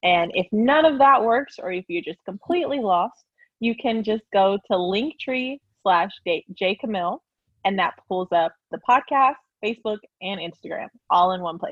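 In an American accent, a woman with a plain, everyday voice speaks at a moderate pace and medium pitch with lively intonation. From Oklahoma, US. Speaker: engineer and podcaster. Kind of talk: casual interview.

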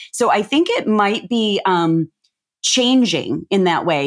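A woman speaks with lively intonation. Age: 50s. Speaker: business and life coach. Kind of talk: casual interview chat. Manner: animated.

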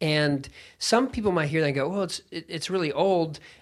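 A man talks with ordinary pitch variation. The recording is very clean, the background silent. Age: 30s. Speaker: podcaster. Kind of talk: casual chat. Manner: animated.

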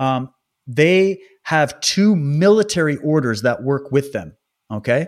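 In a normal speaking voice, a man talks at a fairly slow pace with a fairly high pitch and lively intonation. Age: 30s. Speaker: podcast host and independent researcher. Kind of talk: casual interview chat. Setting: remote recording from home, wife present.

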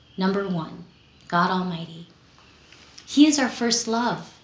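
Amid noticeable background noise, a woman talks at a medium pitch with ordinary pitch variation. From Southern California (Los Angeles), born in Philippines. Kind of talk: retreat talk. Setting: recorded on camera.

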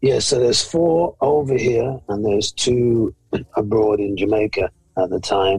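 Somewhat breathy, a man speaks at a fairly slow pace in a medium pitch, with ordinary pitch variation. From Birmingham, England, Jamaican parents. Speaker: pastor. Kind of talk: testimony.

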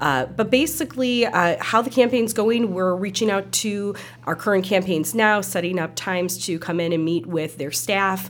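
In an Upper Midwest accent, the speaker talks at a moderate pace with lively intonation. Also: woman, medium pitch for a woman. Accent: Upper Midwest American. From Milwaukee, Wisconsin. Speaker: nonprofit chief executive. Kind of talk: casual interview.

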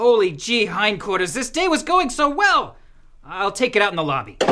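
A put-on character voice sits at a fairly high pitch. It moves along at a moderate pace. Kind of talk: comic radio sketch. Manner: flustered, excitable, stammering.

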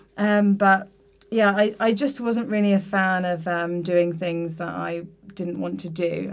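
A woman with a southern English accent, fairly low in pitch, at a fairly slow pace with fairly even intonation. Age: 20s. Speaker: teacher. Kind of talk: casual chat. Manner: hesitant, many fillers.

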